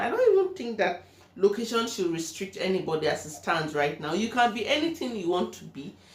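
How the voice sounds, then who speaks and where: Noticeable background noise surrounds a woman speaking at a moderate pace. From Nigeria. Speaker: vlogger. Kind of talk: personal vlog monologue.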